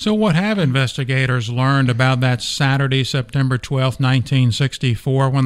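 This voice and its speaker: On a very clean recording with a silent background, a man with an ordinary speaking voice talks at a medium pitch and moderate pace with ordinary pitch variation. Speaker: newspaper podcast host. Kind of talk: news-style podcast hosting and interview. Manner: formal, clear, newsreader-like.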